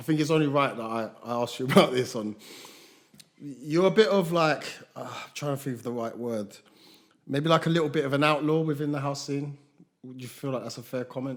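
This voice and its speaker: With long, frequent pauses, a man speaks at a fairly quick pace and fairly high pitch, showing ordinary pitch variation and big swings in loudness. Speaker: podcast host. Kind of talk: casual chat. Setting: studio couch with two guests. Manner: soft-spoken.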